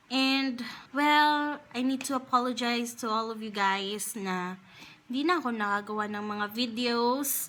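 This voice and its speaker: Bright and sharp in tone, a woman speaks at a fairly slow pace with a high pitch and ordinary pitch variation. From Philippines. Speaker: beauty YouTuber. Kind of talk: casual talk to camera.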